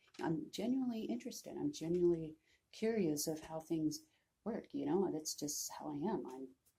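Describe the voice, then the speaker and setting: Soft-spoken and somewhat breathy, a woman with a dark, mellow tone and fairly low pitch talks at a moderate pace with very wide pitch swings. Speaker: vlogger. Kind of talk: personal vlog, mental health story. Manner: hesitant, many fillers.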